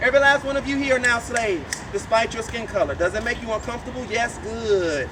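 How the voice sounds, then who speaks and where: In a New Orleans accent, a man speaks in a raised, projected voice at an extremely high pitch, with an animated, theatrical tone and ordinary pitch variation. He goes at a very fast pace with hardly any pauses, over noticeable background noise. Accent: New Orleans Southern US. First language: Louisiana Creole. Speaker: voodoo priest and tour guide. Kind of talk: guided tour talk.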